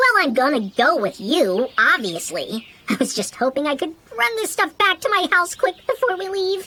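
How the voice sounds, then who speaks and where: A woman's put-on character voice, extremely high and squeaky, whiny in tone, with very wide pitch swings, at a moderate pace. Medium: audio drama. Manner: whiny, sarcastic.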